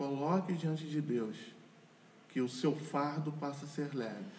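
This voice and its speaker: A man speaks at a fairly high pitch with fairly even intonation. Noticeable background noise runs under his voice. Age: 40s. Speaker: lawyer and church couples leader. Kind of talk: casual chat.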